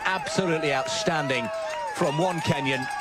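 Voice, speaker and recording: A man sounds excited and enthusiastic. Noticeable background noise runs behind him. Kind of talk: live sports commentary. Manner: excited, enthusiastic and warm, admiring of the athletes; quick, fluid and conversational co-commentary.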